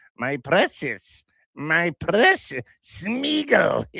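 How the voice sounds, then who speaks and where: Using a put-on character voice, a man with high pitch drags his words out at a very slow pace. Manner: evil, obsessive.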